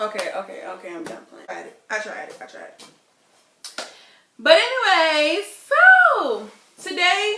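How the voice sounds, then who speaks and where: A woman's animated, fairly slow speech with long, frequent pauses, big swings in loudness and audible room echo. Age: 20s. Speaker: vlogger. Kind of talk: casual vlog.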